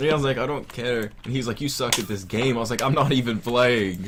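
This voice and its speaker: A man talks at medium pitch with a slight Southern US accent. His pace is moderate and his pitch varies in an ordinary way. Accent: Southern US accent, mild. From US South. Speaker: gamer. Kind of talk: casual chat.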